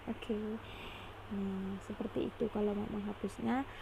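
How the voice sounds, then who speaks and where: A woman talks at a moderate pace and fairly high pitch with fairly even intonation. There is noticeable background noise. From Indonesia, Pontianak (West Kalimantan). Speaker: drawing tutorial creator. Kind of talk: tutorial. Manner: halting.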